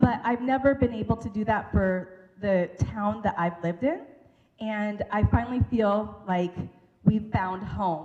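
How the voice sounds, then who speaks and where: The voice is somewhat breathy, with a dark, mellow tone and an American accent. It moves at a moderate pace with ordinary pitch variation. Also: woman. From US Pacific Northwest. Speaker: local election candidate. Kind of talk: campaign speech at forum.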